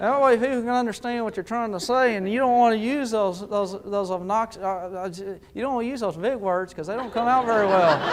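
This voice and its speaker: A man with an American accent talks high-pitched with hardly any pauses and ordinary pitch variation, amid audible room echo and noticeable background noise. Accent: West Texas drawl, largely trained away. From West Texas / eastern New Mexico. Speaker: motivational speaker. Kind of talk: keynote speech to live audience. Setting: stage with audience. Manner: animated, storytelling.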